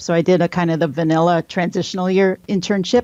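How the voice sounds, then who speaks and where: A woman speaks with a Wisconsin accent, her pitch fairly low and her pitch variation ordinary. The sound is dry and close with no echo, over a quiet background. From Wisconsin, near Green Bay. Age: 40s. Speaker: military pathologist. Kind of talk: interview.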